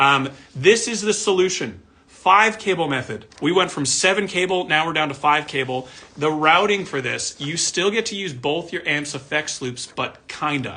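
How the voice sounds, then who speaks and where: A man speaks with lively intonation, keeping a moderate pace. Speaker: audio gear company owner explaining products. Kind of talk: tutorial. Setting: video recording with camera and diagrams. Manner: casual, conversational. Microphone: camera may be distorting pitch.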